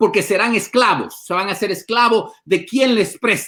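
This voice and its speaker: The speaker talks at a moderate pace. Pitch rises and falls by an ordinary amount. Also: man. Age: 50s. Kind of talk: interview conversation.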